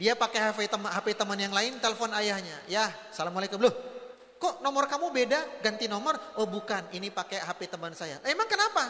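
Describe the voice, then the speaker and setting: Amid noticeable background noise, a man with a high pitch talks in a raised, projected voice at a fairly quick pace. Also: lively intonation. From North Sumatra, Batak. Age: 40s. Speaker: Islamic preacher. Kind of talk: parenting lecture to parents and teachers. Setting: convention hall with audience. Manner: animated storytelling with acted dialogue.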